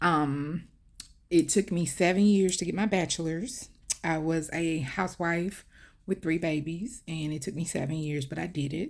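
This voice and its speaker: On a very clean recording with a silent background, a woman with a Southern US accent talks at a moderate pace in a fairly low pitch with ordinary pitch variation. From US South, Mobile area, Alabama. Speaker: vlogger. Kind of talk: personal storytelling. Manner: conversational, many fillers.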